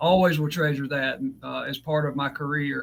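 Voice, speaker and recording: With a Southern US accent, a man talks at a moderate pace in a fairly high voice with ordinary pitch variation, on a very clean recording with a silent background. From US South, South Georgia. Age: 40s. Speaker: fiber optics instructor. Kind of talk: podcast interview. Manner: halting, many fillers.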